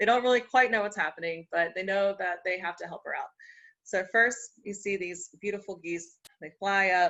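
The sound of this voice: An unforced reading voice with ordinary pitch variation is heard, and the background is quiet.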